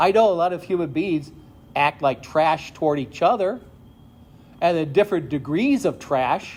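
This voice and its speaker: Pausing long and often, a high-pitched man with an American accent speaks with lively intonation. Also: moderate pace. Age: 60s. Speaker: retired pastor. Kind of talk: sermon. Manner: conversational.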